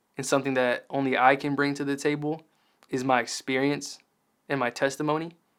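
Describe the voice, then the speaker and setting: This is a very clean recording with a silent background. A man talks at a fairly quick pace in a fairly high, flat monotone. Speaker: rapper. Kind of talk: interview. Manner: casual, with many fillers.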